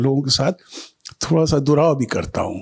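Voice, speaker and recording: A man at a moderate pace on a very clean recording with a silent background. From Bengali, raised in Nagpur, India. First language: Bengali (speaking Hindi). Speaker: painter and art critic. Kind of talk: interview. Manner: reflective with frequent hesitations.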